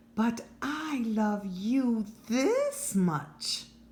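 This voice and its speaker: A female-sounding voice puts on a character voice, pitched fairly high. The tone is warm and gentle. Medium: read story. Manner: warm, gentle.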